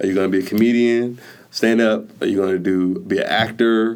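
A man with an unremarkable speaking voice, medium in pitch, at a moderate pace with fairly even intonation. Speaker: entrepreneur, podcast creator. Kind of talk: casual chat.

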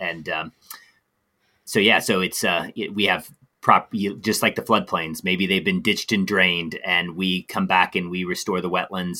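This man's voice is very deep and low in pitch. He talks at a moderate pace in a bright, sharp tone. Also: very clean recording, silent background. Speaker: outreach coordinator and policy analyst. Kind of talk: casual interview conversation.

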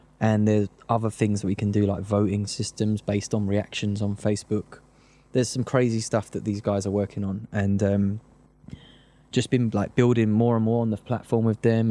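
A man with a South London accent, fairly low pitch, dark, mellow tone, monotone, flat intonation and a fairly quick pace. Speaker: grime producer and DJ. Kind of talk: casual interview chat.

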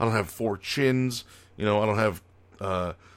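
In an American accent, an unremarkable speaking voice goes at a fairly quick pace with fairly even intonation, in a very clean recording with a silent background. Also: man. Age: 30s. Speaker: podcast host, retired pro wrestler. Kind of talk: casual solo monologue.

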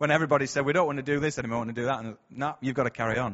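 A man with a Yorkshire accent talks at a very fast pace, his medium-pitched voice keeping fairly even intonation. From Bradford, northern England. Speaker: church speaker. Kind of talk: sermon. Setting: church. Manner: hesitant, conversational.

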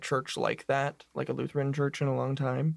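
A very clean recording with a silent background, featuring a man at a moderate pace. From US Pacific Northwest, Spokane. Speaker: university student. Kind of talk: casual chat.

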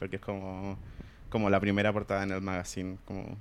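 Talking at a very fast pace, a man speaks in a fairly low voice. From Chile, Puente Alto (Santiago). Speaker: podcast co-host. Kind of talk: casual chat.

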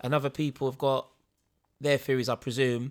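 A man with a London accent speaks at a medium pitch in a monotone, flat way, recorded very cleanly against a silent background with a dry, close sound and no echo. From East London. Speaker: podcast co-host. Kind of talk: casual chat.

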